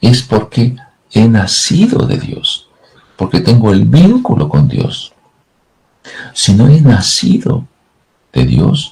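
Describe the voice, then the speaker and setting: A man speaks at a very slow pace. Long, frequent pauses break up his words. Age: 70s. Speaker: pastor. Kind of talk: sermon.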